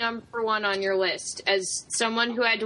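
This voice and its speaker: A woman talks at a fairly slow pace with a fairly high pitch. It is an unremarkable speaking voice. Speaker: guest. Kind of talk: casual chat.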